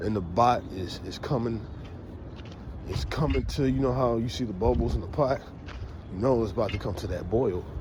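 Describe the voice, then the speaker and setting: Amid noticeable background noise and audible room echo, a man speaks with lively intonation at a moderate pace, pausing often and at length. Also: medium pitch for a man. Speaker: street preacher. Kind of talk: walking vlog talk. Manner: halting.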